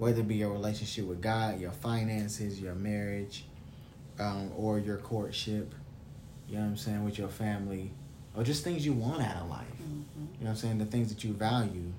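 Speaking at a moderate pace, a man has a fairly low, somewhat breathy voice with a dark, mellow tone. His pitch varies in an ordinary way, and there is audible room echo. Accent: American. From US South. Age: 20s. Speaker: podcast host. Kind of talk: casual chat.

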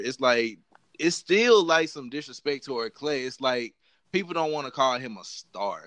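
Against a quiet background, a man uses a normal speaking voice at a moderate pace with ordinary pitch variation. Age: 20s. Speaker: podcast host, student. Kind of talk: casual chat.

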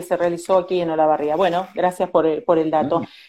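In a Rioplatense accent, a woman speaks with a dark, mellow tone. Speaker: journalist host. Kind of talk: interview. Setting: video call.

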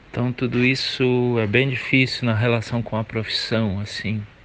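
A man talks at a moderate pace in a monotone, flat intonation, with noticeable background noise behind him. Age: 40s. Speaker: guitarist, composer and music teacher. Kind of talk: interview.

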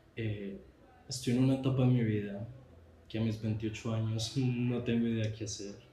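Breathing somewhat breathily, a man speaks at a moderate pace and medium pitch in a dark, mellow tone, his intonation monotone and flat, with audible room echo. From Colombia. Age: 20s. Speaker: visual artist, podcast host. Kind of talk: personal podcast monologue. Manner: halting, with fillers and repetitions.

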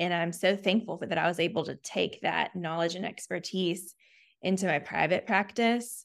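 Speaking with an American accent in a plain, everyday voice, a woman keeps a moderate pace, fairly low pitch and fairly even intonation. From US South, Chattanooga, Tennessee. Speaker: speech therapist, practice owner. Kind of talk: interview.

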